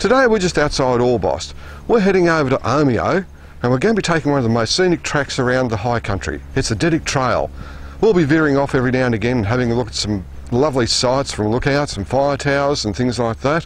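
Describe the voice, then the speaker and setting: Very fast male speech with very wide pitch swings, dry with no echo. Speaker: TV presenter. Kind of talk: piece to camera. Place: open country.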